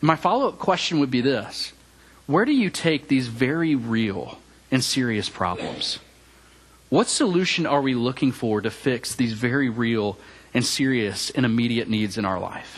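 Speaking in a Tennessee accent, a man holds a medium pitch with ordinary pitch variation. His pace is moderate. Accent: Southern US (Tennessee). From Memphis, Tennessee (US South). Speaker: campus minister preaching. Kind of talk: sermon. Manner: hesitant with frequent fillers.

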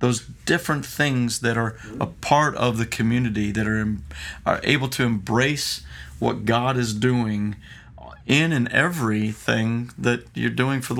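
A man talks at a fairly slow pace in an unremarkable speaking voice. His pitch is medium, with ordinary variation. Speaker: podcast host. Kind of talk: casual chat. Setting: studio.

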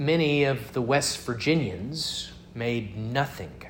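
Lively in intonation, a man speaks at a very slow pace amid audible room echo. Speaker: pastor. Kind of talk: sermon.

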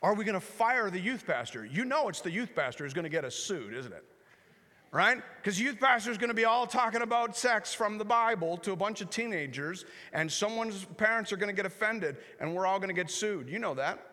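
Raised and projected, a man's high, bright, sharp voice comes with a Canadian accent, an animated tone, lively intonation, a fairly quick pace, and audible room echo. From Canada. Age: 40s. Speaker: pastor. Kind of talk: guest sermon in a church, urgent prophetic warning to the congregation. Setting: church service with congregation. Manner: animated, conversational with self-corrections and repetitions.

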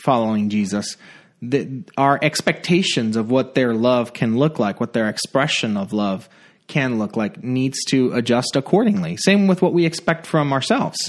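A man with a plain, everyday voice speaks at medium pitch and a moderate pace, with lively intonation. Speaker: pastor. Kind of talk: casual chat.

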